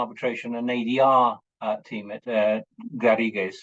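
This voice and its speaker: With an English accent, a man speaks at a medium pitch with fairly even intonation. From England. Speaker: lawyer and mediator. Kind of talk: webinar talk. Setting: video call. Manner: hesitant, many fillers.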